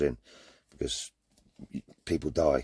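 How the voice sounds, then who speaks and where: A man talks in a Cornish accent at a moderate pace. The sound is dry and close with no echo. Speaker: vanlifer showing his van conversion. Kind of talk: casual vlog talk. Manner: hesitant, repeats words.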